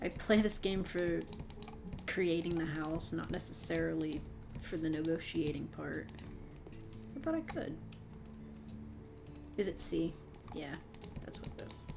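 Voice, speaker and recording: A woman speaks at a fairly slow pace with a relaxed tone and long, frequent pauses. Audible room echo can be heard. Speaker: gaming youtuber. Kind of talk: casual gameplay commentary. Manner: relaxed, unscripted.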